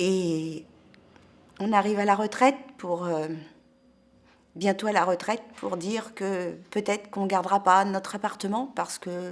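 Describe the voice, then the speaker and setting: Long, frequent pauses break up a woman's fairly slow speech, her intonation fairly even. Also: medium pitch for a woman. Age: 60s. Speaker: protester. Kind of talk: testimony. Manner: halting.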